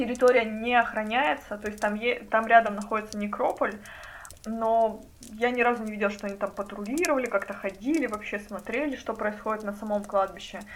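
A woman with a fairly high pitch keeps a moderate pace as she speaks. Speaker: bookshop founder, memory project co-founder. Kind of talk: casual chat.

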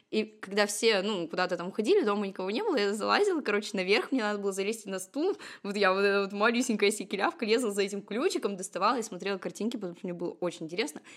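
A woman talks at a very fast pace and medium pitch with ordinary pitch variation. The recording is very clean, with a silent background. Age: 20s. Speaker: tarot reader and numerologist. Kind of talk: casual chat.

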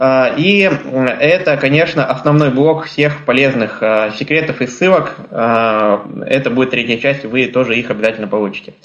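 Against noticeable background noise, a man with a medium-pitched voice talks at a moderate pace, with ordinary pitch variation and very even loudness. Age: 20s. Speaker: blind traveler and trainer giving a webinar. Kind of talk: webinar talk.

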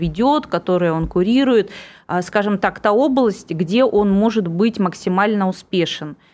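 Speaking fairly slowly with lively intonation, a woman has an ordinary speaking voice at a medium pitch, on a very clean recording with a silent background. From Irkutsk, Siberia. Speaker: politician. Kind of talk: radio interview. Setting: studio.

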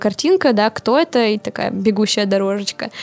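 A woman with an unremarkable speaking voice and a fairly high pitch keeps a moderate pace. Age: 20s. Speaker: podcaster and PR specialist. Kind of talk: interview.

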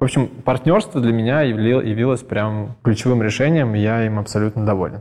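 A man's normal speaking voice at medium pitch and a moderate pace, with hardly any pauses and fairly even intonation. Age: 30s. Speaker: entrepreneur. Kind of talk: interview.

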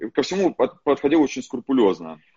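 Talking at a very fast pace, a man at medium pitch uses lively intonation. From Russian Far East. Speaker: podcast host and entrepreneur. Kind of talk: casual interview chat, recorded from live stream. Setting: phone recording of Instagram live.

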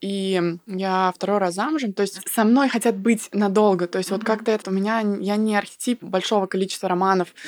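Using an ordinary speaking voice, a woman talks at a fairly quick pace with fairly even intonation and medium pitch. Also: hardly any pauses. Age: 30s. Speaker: blogger and business coach. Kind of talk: casual chat.

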